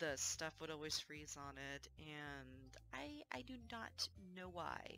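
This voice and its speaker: A woman at a very slow pace, dry sound with no echo and faint music in the background. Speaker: gaming streamer. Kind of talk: casual talk to camera. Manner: low mic volume. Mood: mildly frustrated, chatty.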